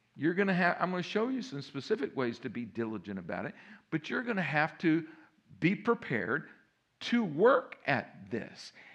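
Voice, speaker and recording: Over a quiet background, a man with a fairly high pitch and vocal fry speaks at a moderate pace, his pitch swinging very widely. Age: 70s. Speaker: pastor. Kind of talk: sermon. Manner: animated.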